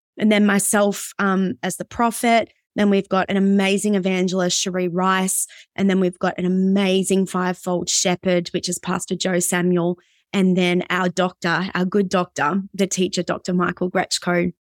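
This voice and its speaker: Dry and close with no echo, a woman's voice at medium pitch comes with an Australian accent, monotone, flat intonation and a moderate pace. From Australia, Brisbane. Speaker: pastor and worship leader. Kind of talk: casual interview.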